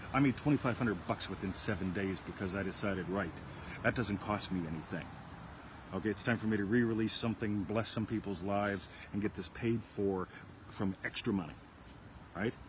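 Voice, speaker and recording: A man talks at a fairly quick pace in a fairly low, somewhat breathy voice with fairly even intonation. Long, frequent pauses break up his speech. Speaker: self-help video show host. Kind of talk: casual chat. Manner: fast.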